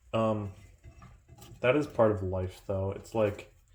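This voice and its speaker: Speaking at a very slow pace, a man with a fairly low pitch sounds calm and somewhat breathy, keeping his intonation fairly even. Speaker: vlogger. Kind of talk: casual monologue. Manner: calm, low-key.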